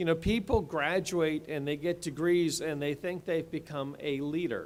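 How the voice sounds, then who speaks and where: A man with an American accent talks at a moderate pace. His pitch is fairly high and his intonation fairly even. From Delaware area, US. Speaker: state attorney general, commencement speaker. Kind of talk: commencement speech. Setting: stage with audience in an athletic center.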